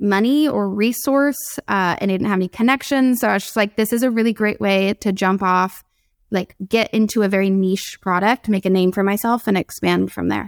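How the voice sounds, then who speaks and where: On a very clean, dry, close recording with a silent background and no echo, a woman with a plain, everyday voice speaks at medium pitch and a moderate pace, with ordinary pitch variation and very even loudness. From US West Coast, San Diego. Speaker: fashion brand founder. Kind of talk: interview.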